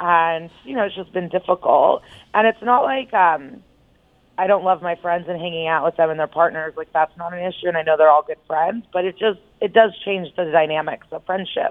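A woman with a fairly low pitch, moderate pace and ordinary pitch variation. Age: 30s. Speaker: phone guest. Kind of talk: casual chat.

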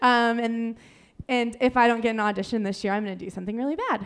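Speaking very fast, a woman uses a fairly high pitch with a Midwestern American accent. Her intonation stays fairly even. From Ohio (Dayton). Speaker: comedian. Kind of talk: stand-up. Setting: stage with audience.

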